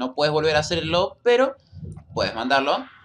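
There is light background noise. A man is talking. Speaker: gamer streamer. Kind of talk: gameplay tutorial commentary. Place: home room. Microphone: webcam.

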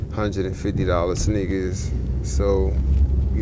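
The speech moves at a fairly slow pace, with a dry sound that has no echo and noticeable background noise. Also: man. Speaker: interviewee. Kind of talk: interview answer. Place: car.

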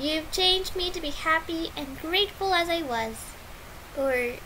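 A woman with an extremely high pitch uses a raised, projected voice and lively intonation. Audible room echo and noticeable background noise surround her. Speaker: YouTuber. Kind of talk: unscripted vlog monologue. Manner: halting.

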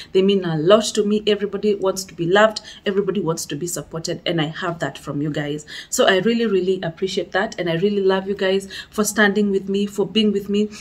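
Keeping her intonation fairly even, a woman talks at a very fast pace. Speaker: vlogger, life coach. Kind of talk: casual vlog chat. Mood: grateful, warm. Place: home room.

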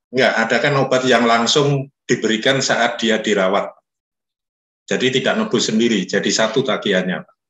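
A man with a medium pitch speaks at a moderate pace, with fairly even intonation and very even loudness. Audible room echo surrounds him, though the background is quiet. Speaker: association chairman. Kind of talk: formal welcome speech. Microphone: video call.

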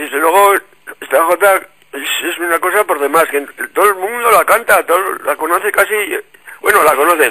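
Speaking at a fairly quick pace but with long, frequent pauses, a man uses a high pitch and ordinary pitch variation. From Navarre, Spain (Añorbe). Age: 80s+. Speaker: jota composer. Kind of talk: radio interview. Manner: halting.

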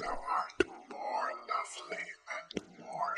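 Someone is whispering at a very slow pace. Music plays in the background. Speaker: ASMR creator. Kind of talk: poetry reading. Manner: whispered; relaxing, soft. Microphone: studio mic.

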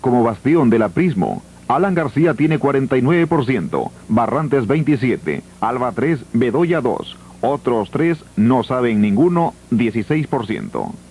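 Speaking at medium pitch with lively intonation, a man keeps his loudness very even and leaves hardly any pauses. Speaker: news reporter presenting survey results. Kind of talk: 1985 TV news broadcast, reading poll figures city by city. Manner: brisk, formal, rattling off numbers.

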